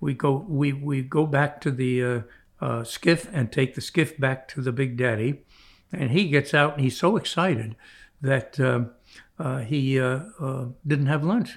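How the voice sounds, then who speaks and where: A somewhat breathy man with an American accent, a very slow pace, long, frequent pauses, and ordinary pitch variation, in a very clean recording with a silent background. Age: 90. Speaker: retired orthopedic surgeon and fly fisherman. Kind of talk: storytelling interview.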